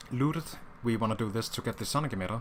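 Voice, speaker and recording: Medium-pitched male voice with ordinary pitch variation over noticeable background noise. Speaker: speedrun tutorial gamer. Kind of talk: gameplay tutorial commentary. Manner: casual, hesitant with fillers.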